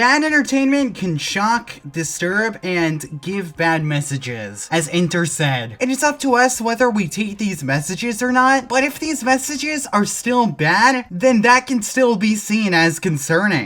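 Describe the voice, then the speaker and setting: With music playing in the background, a woman at medium pitch talks in very wide pitch swings. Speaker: commentary YouTuber. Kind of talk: scripted video commentary.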